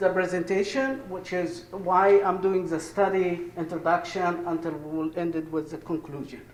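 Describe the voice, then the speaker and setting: A fairly slow, high-pitched male voice in an Egyptian accent, with audible room echo and noticeable background noise. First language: Arabic. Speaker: professor. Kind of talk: conference presentation. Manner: halting.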